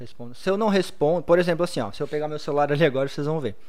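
A man speaks with a fairly high pitch. Audible room echo is present. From Blumenau, southern Brazil. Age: 30s. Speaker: social media content creator. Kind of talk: podcast interview.

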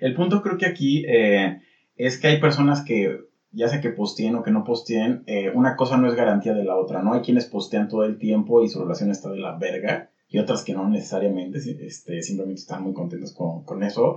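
Here a man speaks with a Mexican accent at a medium pitch. His pace is fairly quick, and his intonation is lively. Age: 30s. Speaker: podcast co-host. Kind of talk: casual chat.

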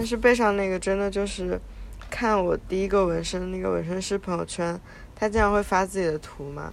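A woman speaks in a normal speaking voice at a medium pitch, talking at a fairly quick pace with fairly even intonation. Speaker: podcast co-host. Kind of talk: casual chat.

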